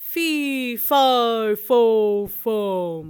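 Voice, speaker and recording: A female-sounding, put-on character voice comes through at a fairly high pitch. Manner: bawling.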